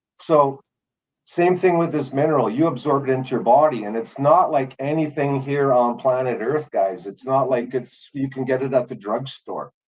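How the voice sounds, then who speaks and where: Moderate in pace, a man speaks. His pitch varies in an ordinary way. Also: medium pitch for a man. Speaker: live stream participant. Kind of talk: casual chat. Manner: loud. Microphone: laptop mic.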